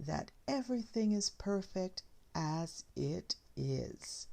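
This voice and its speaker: A woman speaks in a soft-spoken way. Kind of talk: soft-spoken ASMR reading of short tales. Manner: soft-spoken, slow.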